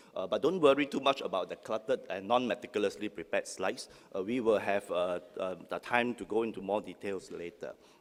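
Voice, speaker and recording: The speech races along at a very fast pace with hardly any pauses. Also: man. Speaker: academic panel speaker. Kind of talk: conference talk.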